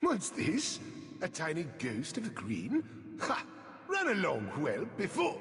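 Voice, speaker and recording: A man performs a put-on character voice at a fairly slow pace, with long, frequent pauses. A clear echo surrounds the recording. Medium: video game.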